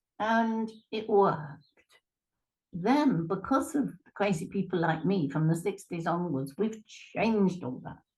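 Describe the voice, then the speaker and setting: With an East Midlands accent, a woman talks at a fairly slow pace. Her voice is somewhat breathy, with lively intonation. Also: medium pitch for a woman. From England, Lincolnshire. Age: 70s. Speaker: retired therapist and life coach. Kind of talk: interview.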